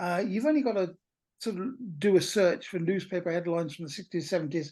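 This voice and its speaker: A woman's fairly low voice with a dark, mellow tone, at a fairly quick pace against a quiet background. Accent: British. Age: 60s. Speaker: talk presenter at a pagan meetup. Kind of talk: informal lecture. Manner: hesitant, many fillers.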